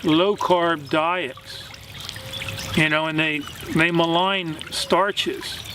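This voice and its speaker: Delivered at a very slow pace with long, frequent pauses, the speech keeps a fairly even intonation and very even loudness over noticeable background noise. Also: man, high pitch for a man. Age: 60s. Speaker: vlogger on gardening and plant-based diet. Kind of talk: casual talk to camera, answering viewer question. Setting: outdoors in vegetable garden. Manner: halting, many fillers.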